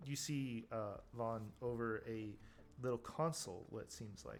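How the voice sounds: Speaking at a fairly slow pace, a man keeps a medium pitch with ordinary pitch variation.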